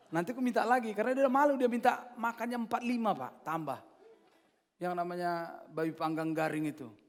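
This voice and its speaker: A man with an animated tone, very wide pitch swings and a fairly quick pace. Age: 60s. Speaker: pastor. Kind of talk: sermon. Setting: church.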